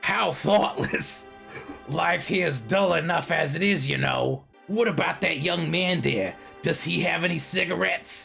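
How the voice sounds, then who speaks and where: A man puts on a character voice at a high pitch, moving at a moderate pace. Faint music plays in the background. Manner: cartoon-like, cryptic, dry.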